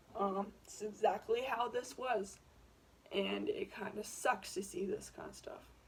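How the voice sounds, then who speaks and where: Against noticeable background noise, a woman speaks at a fairly slow pace with big swings in loudness. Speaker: YouTuber. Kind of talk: casual commentary vlog. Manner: hesitant, many fillers.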